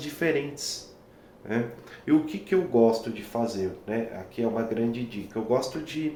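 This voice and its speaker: The room echo is audible as a man speaks at a fairly slow pace. His pitch varies in an ordinary way. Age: 30s. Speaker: violinist and music teacher. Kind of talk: talking-head tutorial. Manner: hesitant, many fillers.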